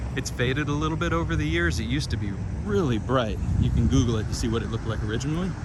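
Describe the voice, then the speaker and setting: Over noticeable background noise and audible room echo, a man speaks at a very fast pace, his fairly low pitch making very wide swings. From Kentucky. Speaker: travel vlogger. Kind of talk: narrated walking tour. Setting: outdoors. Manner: casual.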